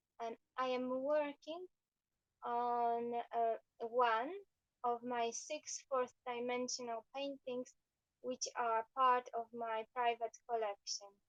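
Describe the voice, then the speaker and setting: A woman speaks at a high pitch with fairly even intonation and a strong Eastern European accent. Her pace is very slow with long, frequent pauses, and the sound is dry and close with no echo. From Poland. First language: Polish. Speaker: painter and fashion designer. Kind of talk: livestream chat while painting. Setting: live video stream. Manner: halting.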